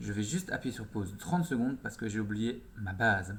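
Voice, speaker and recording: Pitch swings very widely as a man talks at a fairly quick pace. His voice is somewhat breathy. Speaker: makeup youtuber. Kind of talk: makeup tutorial. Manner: fast; animated.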